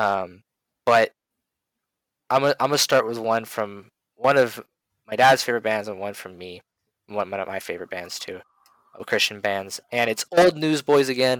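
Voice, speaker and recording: A man with a medium pitch and ordinary pitch variation speaks at a moderate pace, with long, frequent pauses and big swings in loudness. The sound is dry and close with no echo, and the recording is very clean, with a silent background. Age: 20s. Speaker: podcast co-host. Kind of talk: religious discussion.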